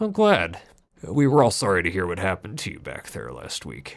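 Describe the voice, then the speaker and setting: A man's put-on character voice, very deep and low, with very wide pitch swings, big swings in loudness and a fairly quick pace, on a very clean recording with a silent background. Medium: read story. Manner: jovial, casual, folksy.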